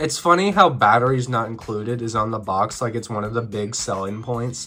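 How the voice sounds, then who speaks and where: This man talks at a medium pitch with a bright, sharp tone. His pace is moderate and his pitch varies an ordinary amount. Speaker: video game reviewer. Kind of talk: video essay narration.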